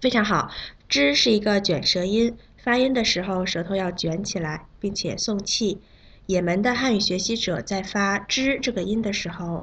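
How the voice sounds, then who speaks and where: Against a quiet background, a woman of medium pitch talks in an unremarkable speaking voice. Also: ordinary pitch variation. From China. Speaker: Chinese pronunciation teacher. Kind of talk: language lesson. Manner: slow, clear enunciation.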